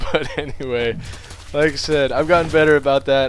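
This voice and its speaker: The delivery has an animated tone. Noticeable background noise is present. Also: man. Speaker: game commentator. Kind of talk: live game commentary. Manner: animated, excitable; rambling with many fillers.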